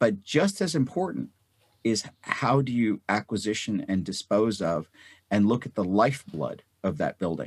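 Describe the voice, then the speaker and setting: At a moderate pace, a man with a fairly low pitch speaks in a plain, everyday voice, the sound dry and close with no echo. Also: lively intonation. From North India, moved to US as child. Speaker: physician and real estate investor. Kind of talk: interview.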